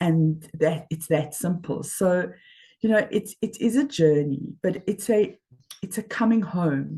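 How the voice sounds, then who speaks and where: At a fairly slow pace, a woman speaks in a fairly low pitch with a dark, mellow tone, lively intonation and a somewhat breathy quality. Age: 60s. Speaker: life coach. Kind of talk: interview.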